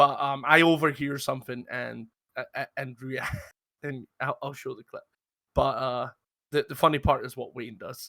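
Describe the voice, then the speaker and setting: A man speaks with a Scottish accent, his loudness swinging widely. The recording is very clean, with a silent background. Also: moderate pace, dry, close sound with no echo. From Scotland. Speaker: roleplay gaming podcast host. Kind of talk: casual chat. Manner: halting, many fillers and repeats.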